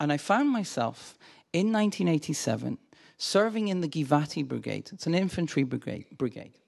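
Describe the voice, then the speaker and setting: In an American accent, a man talks at a fairly slow pace and a fairly high pitch against a quiet background. His tone is animated, with very wide pitch swings. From Glasgow, Scotland. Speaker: visiting scholar and lecturer on Judaism. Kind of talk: lecture. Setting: lecture hall with audience. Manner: friendly, humorous, animated.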